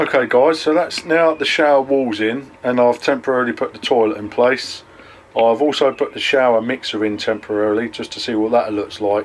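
A man at a fairly quick pace with ordinary pitch variation, over light background noise. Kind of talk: casual vlog chat. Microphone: phone near.

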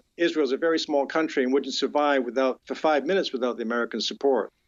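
Using an unremarkable speaking voice, a man speaks at a fairly high pitch with ordinary pitch variation. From Canada (born in UK). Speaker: criminal defense lawyer. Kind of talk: interview. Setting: phone call.

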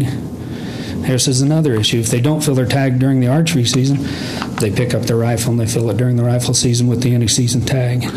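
A man talks at a very fast pace with an American accent. His intonation is monotone and flat, and background noise is noticeable. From US Midwest. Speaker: member of the public, hunter; public commenter. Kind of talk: public comment. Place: meeting room. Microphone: podium.

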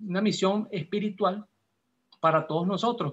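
A high-pitched man's voice. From Peru, Lima; Peru. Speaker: class participant. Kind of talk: class discussion. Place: home room. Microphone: video call.

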